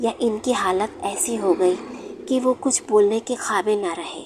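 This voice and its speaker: Over noticeable background noise, a woman speaks with fairly high pitch. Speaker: horror story narrator. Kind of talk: horror story narration.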